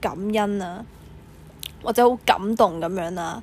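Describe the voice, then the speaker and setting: A woman speaks with ordinary pitch variation. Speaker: podcast host. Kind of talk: solo reflective monologue. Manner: hesitant, many fillers.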